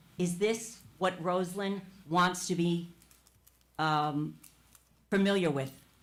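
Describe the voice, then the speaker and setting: Speaking very slowly with long, frequent pauses, a woman uses a fairly low pitch and fairly even intonation while audible room echo surrounds her voice. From New Jersey, Verona. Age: 70s. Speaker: public commenter, retired teacher. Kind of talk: public comment at council meeting. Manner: impassioned, emphatic.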